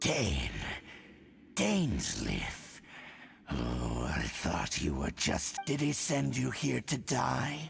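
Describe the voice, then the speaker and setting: Over clear background noise, a man does a growling, menacing put-on character voice at a very slow pace with long, frequent pauses. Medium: video game. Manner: cold, menacing.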